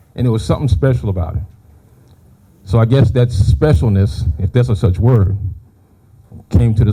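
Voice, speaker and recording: A man's somewhat breathy voice, fairly low in pitch, with a dark, mellow tone. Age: 60s. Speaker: firefighter. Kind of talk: public speech.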